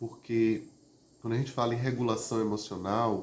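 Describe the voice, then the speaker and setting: Calm, somewhat breathy speech from a man at medium pitch and moderate pace, with audible room echo. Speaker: therapist or emotional wellbeing teacher. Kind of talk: live stream talk on emotions. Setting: online live stream. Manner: conversational with frequent fillers; calm, prosodic after exercise.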